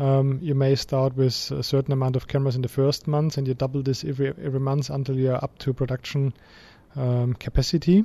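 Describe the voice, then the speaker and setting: A man speaks at a medium pitch with a dark, mellow tone and a somewhat breathy quality, at a fairly quick pace. His intonation stays fairly even, and the sound is dry and close with no echo. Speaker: camera company representative. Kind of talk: interview.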